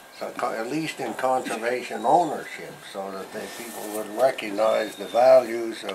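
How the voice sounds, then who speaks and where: A man talks at a moderate pace in a medium pitch with ordinary pitch variation and big swings in loudness. Noticeable background noise runs underneath. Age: 80s+. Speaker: retired forest service conservationist. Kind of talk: interview answer. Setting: outdoors. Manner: hesitant, rambling.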